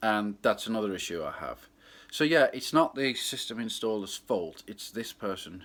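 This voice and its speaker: A loud voice at a moderate pace, captured in a very clean recording with a silent background. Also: man. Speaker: club DJ. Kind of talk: casual vlog monologue.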